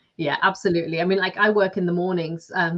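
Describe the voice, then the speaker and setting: A woman with a Lancashire accent speaks at a very fast pace in a fairly low pitch, with monotone, flat intonation. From northern England, Lancashire. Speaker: business coach and author. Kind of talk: podcast interview.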